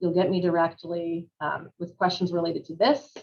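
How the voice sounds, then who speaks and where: The speaker is a woman with fairly low pitch. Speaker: city official presenting plan. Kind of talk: public presentation and Q&A. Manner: fast.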